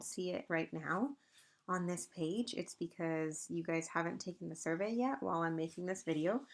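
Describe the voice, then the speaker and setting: A woman with a plain, everyday voice and fairly low pitch speaks at a moderate pace. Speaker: elementary school teacher. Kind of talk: tutorial.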